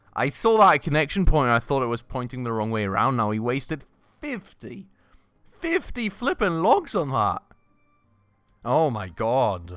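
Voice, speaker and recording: With music in the background, a man of medium pitch speaks at a moderate pace, swinging his pitch very widely and leaving long, frequent pauses. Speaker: video game streamer. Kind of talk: gameplay commentary. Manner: animated.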